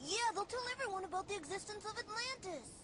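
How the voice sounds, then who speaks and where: A put-on character voice at an extremely high pitch races along at a very fast pace over loud background noise. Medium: short film.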